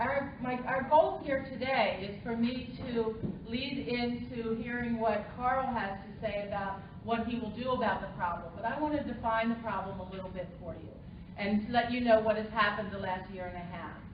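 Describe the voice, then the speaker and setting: In a room with audible echo and noticeable background noise, a woman speaks at a fairly high pitch and moderate pace, with ordinary pitch variation and big swings in loudness. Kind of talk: press conference speech. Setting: press conference.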